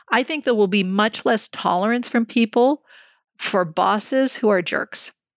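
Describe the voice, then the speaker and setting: With a Canadian accent and an ordinary speaking voice, a woman talks at a moderate pace with ordinary pitch variation. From Canada, Montreal. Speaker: CEO of a research organization. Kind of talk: interview.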